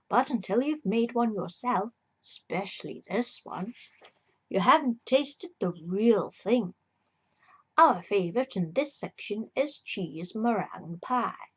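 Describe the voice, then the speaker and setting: Somewhat breathy, a woman with a fairly high pitch speaks at a fairly slow pace with lively intonation. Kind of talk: ASMR reading of a book. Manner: soft-spoken.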